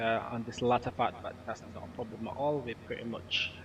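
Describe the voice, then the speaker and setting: A man is speaking. His voice is somewhat breathy. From Britain. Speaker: gaming streamer. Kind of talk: live stream commentary. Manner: halting, many fillers; casual, relaxed.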